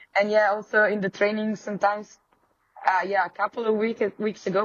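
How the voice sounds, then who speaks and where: A woman speaks with an Italian accent. Her pitch is fairly high. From Italy, Friuli near Slovenian border. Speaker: professional cyclocross racer. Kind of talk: podcast interview. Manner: halting, searching for English words.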